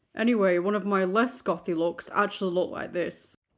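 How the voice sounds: The recording is very clean and the background silent. A woman talks at a medium pitch.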